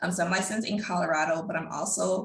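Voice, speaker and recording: A woman speaks fairly quickly in a fairly low voice with fairly even intonation. Audible room echo and noticeable background noise fill the recording. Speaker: accountant. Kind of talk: webinar presentation.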